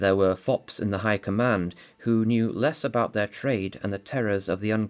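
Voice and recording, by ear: The speaker is reading aloud in a natural voice with fairly even intonation.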